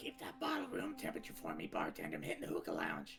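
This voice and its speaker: A raspy, very fast put-on character voice from a man, with clear music in the background. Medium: actual play.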